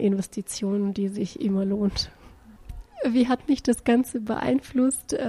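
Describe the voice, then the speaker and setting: A woman's fairly high, somewhat breathy voice with a dark, mellow tone, at a fairly slow pace. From Bulgaria. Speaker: executive recruiter. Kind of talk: casual testimonial.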